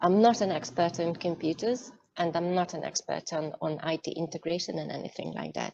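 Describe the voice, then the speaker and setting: A woman with a Hungarian accent, fairly low in pitch, at a fairly quick pace with ordinary pitch variation. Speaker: cybersecurity executive. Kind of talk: online masterclass talk. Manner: hesitant, many fillers.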